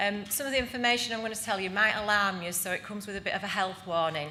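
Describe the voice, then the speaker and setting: A woman at a very fast pace with a Yorkshire accent, medium pitch and ordinary pitch variation, with audible room echo. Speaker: housing association director. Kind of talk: conference presentation.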